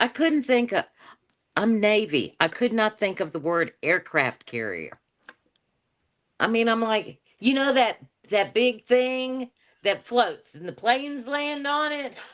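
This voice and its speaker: With long, frequent pauses, a woman speaks at a fairly slow pace in a fairly high pitch, her intonation lively. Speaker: navy veteran. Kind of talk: casual chat. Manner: halting, searching for words.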